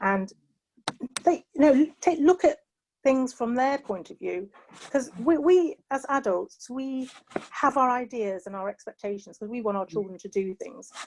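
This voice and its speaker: A woman with a British accent, high-pitched and fairly slow, with very wide pitch swings, big shifts in loudness and a dry, close sound free of echo. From England. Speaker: panelist. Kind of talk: panel discussion. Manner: hesitant, many fillers.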